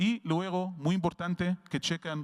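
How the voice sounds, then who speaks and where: A fairly high-pitched man with an Arabic accent at a fairly slow pace, in a very clean recording with a silent background and a dry, close sound with no echo. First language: Arabic (speaking Spanish). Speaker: veterinary researcher and professor. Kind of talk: lecture. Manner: halting.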